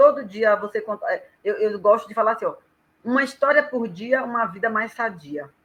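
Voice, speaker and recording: This is a plain, everyday voice. It moves at a moderate pace with lively intonation. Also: woman. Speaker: professional storyteller. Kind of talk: casual live chat.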